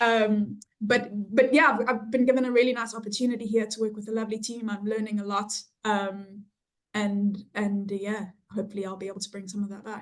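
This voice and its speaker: With a South African accent, this voice moves at a fairly quick pace in a monotone, flat intonation, with big swings in loudness. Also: woman, fairly high pitch for a woman. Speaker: health economics researcher. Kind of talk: interview. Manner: hesitant, many fillers.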